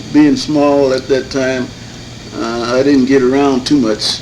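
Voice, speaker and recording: A man at medium pitch, fairly slow and monotone, flat in intonation, with noticeable background noise and audible room echo. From Michigan, Muskegon Heights. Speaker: elder resident interviewee. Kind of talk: oral history interview. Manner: halting.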